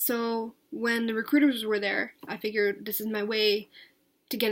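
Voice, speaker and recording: A woman's fairly high voice with an American accent. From US Northeast, New Jersey. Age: 20s. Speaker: vlogger. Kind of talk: casual vlog monologue. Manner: hesitant, many filler words; talkative.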